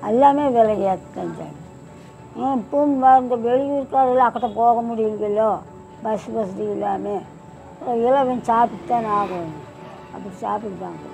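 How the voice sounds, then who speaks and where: Over clear background music, a woman speaks with a fairly high pitch, ordinary pitch variation and big swings in loudness. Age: 80s+. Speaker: idli seller. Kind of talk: interview answer. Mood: matter-of-fact, slightly weary. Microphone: lapel.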